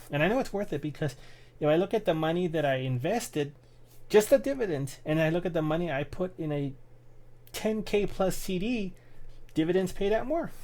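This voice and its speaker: A high-pitched man talks at a fairly quick pace but leaves long, frequent pauses. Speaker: YouTuber vlogging resolutions. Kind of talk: casual vlog monologue. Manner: halting, repeated words.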